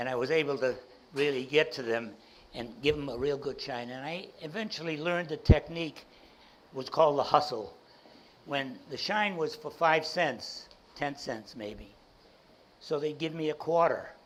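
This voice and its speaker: A man with a Boston accent speaks at a moderate pace in a fairly high pitch. His loudness swings widely, and he leaves long, frequent pauses. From Boston, South End. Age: 80s+. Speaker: entrepreneur and speaker. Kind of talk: keynote talk to audience.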